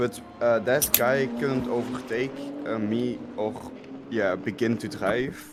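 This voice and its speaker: Amid noticeable background noise and audible room echo, a man with a French accent speaks very slowly at a medium pitch, with fairly even intonation. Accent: sounds French. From Belgium. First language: Dutch. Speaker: sim racing driver. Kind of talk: interview. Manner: halting, many fillers.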